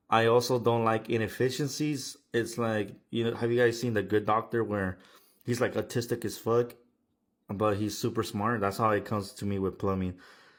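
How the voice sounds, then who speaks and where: On a very clean recording with a silent background, a man speaks at a moderate pace in an unremarkable speaking voice. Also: medium pitch for a man, fairly even intonation. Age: 20s. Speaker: plumbing business owner. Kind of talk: casual monologue. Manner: casual, profane.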